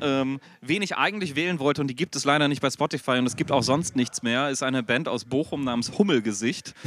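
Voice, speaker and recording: A man talks at a fairly quick pace with hardly any pauses. His pitch is fairly high, with ordinary variation. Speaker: podcast co-host. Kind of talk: casual chat. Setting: back room of a rock club before a concert.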